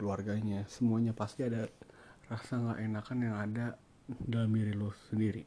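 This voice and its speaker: A man's voice sits fairly low and sounds dark and mellow. He delivers everything in a flat monotone. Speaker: podcaster. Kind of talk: casual solo monologue. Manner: hesitant, many fillers.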